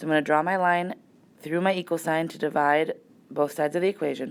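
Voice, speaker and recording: The recording is very clean, with a silent background. It carries an ordinary speaking voice with ordinary pitch variation. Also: woman. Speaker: math teacher. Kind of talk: tutorial.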